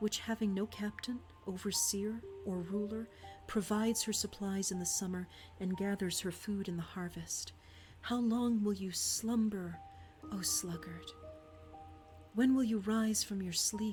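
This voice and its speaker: Soft-spoken speech at a fairly slow pace, with long, frequent pauses and music in the background. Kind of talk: scripture reading.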